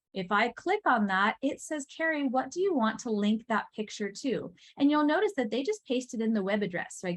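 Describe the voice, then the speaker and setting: Female speech full of lively intonation. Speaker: teacher trainer. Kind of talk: workshop presentation. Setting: in-person session with live audience. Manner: fast.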